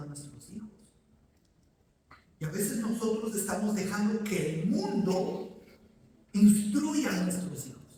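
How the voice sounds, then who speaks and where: There is audible room echo around a man's voice. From Ecuador. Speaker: pastor. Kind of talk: sermon.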